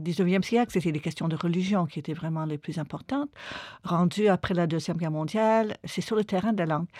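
A woman speaks at a fairly quick pace with ordinary pitch variation and a fairly low, dark, mellow voice. The recording is very clean and dry, with a close sound, no echo and a silent background. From Quebec, Montreal. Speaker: linguist and anthropologist. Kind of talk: interview about her book. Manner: hesitant with fillers.

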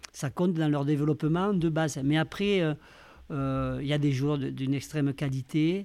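The male speaker's pitch stays fairly even. He delivers his words at a fairly slow tempo. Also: very even loudness. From Bigorre, southwest France. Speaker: rugby coach and educator. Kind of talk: interview. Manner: halting.

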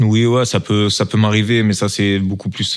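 This man has a slight southern French accent and a fairly quick pace. His intonation is monotone and flat. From southern France, Toulon. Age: 20s. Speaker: professional footballer. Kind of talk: interview.

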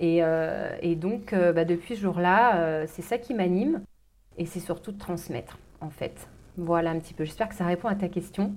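A woman talks at a moderate pace, her fairly low pitch showing ordinary variation. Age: 40s. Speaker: life coach. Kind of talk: interview. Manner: hesitant with fillers.

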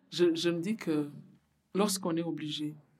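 Very slowly, a woman speaks at a very deep, low pitch in a dark, mellow tone, with audible room echo. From Burundi. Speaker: community worker at a women's association. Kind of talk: interview testimony. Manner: halting, repeats words.

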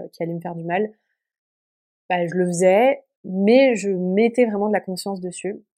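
Her tone dark and mellow, a woman with a medium pitch talks at a fairly slow pace with fairly even intonation. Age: 20s. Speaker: podcast guest sharing eating disorder recovery. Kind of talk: personal testimony. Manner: hesitant with many fillers.

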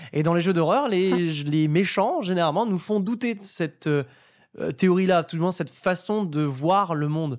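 The recording is very clean, with a silent background. A man speaks at a high pitch. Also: ordinary pitch variation, moderate pace. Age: 20s. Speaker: host and commentator, horror and fighting game fan. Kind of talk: casual chat.

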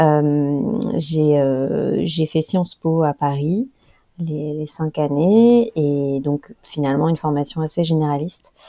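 A woman speaks very slowly in a very deep, low voice with a dark, mellow tone and ordinary pitch variation. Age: 30s. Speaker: author and environmental expert. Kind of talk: interview. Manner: halting, many repetitions and fillers.

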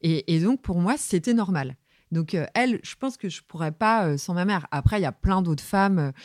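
Her fairly low voice comes through dry and close with no echo, and the woman speaks at a moderate pace with lively intonation in a very clean recording with a silent background. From Brittany, France (Saint-Brieuc). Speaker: music journalist, magazine editor. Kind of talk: interview. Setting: office. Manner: assertive.

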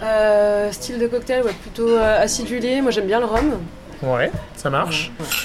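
Music plays in the background as a man with a high pitch talks at a fairly slow pace, with audible room echo. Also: ordinary pitch variation. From Brittany, Guérande. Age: 40s. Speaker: bartender and bar owner. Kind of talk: interview. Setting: in a bar.

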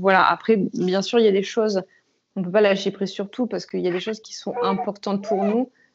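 At a very fast pace, a woman talks in a medium pitch with monotone, flat intonation. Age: 30s. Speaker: laboratory technician and new mother. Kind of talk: casual chat. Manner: halting.

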